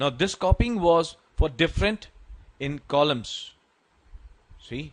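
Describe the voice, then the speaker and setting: Speaking at a very slow pace, a man with an Indian accent and a fairly high pitch uses lively intonation. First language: Hindi. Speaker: Excel tutorial maker. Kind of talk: channel outro; tutorial. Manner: halting.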